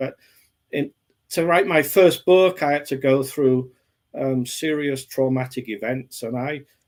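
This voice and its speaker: A man with an English accent speaks at a fairly slow pace and a fairly high pitch, with ordinary pitch variation. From England. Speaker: author. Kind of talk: interview.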